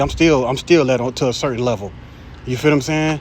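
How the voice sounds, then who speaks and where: Noticeable background noise sits behind a man talking at a very fast pace. His pitch is fairly high, with ordinary variation. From Jacksonville, Florida, US South. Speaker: street preacher / bible teacher. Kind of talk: informal sermon. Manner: animated.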